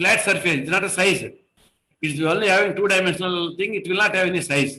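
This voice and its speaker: A man speaks in a raised, projected voice with a bright, sharp tone, a high pitch and a fairly quick pace. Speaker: engineering trainer. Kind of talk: online lecture. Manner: fast.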